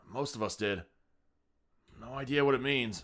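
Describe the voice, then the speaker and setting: A man in a raspy, put-on character voice speaks at a moderate pace and medium pitch, on a very clean recording with a silent background. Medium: read story. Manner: terse, laconic.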